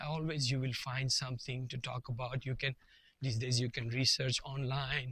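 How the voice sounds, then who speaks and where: A man speaks at medium pitch and a moderate pace. He has a non-native accent. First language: not English. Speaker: vlogger. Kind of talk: casual monologue to camera. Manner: halting, with fillers and repetitions.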